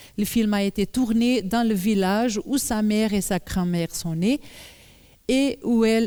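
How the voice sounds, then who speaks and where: A woman's dark, mellow voice with a Portuguese accent at a very slow pace, with ordinary pitch variation, on a very clean recording with a silent background. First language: Portuguese (speaking French). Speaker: journalist and author giving a talk. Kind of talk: public lecture. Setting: conference hall with audience. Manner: halting, many hesitations.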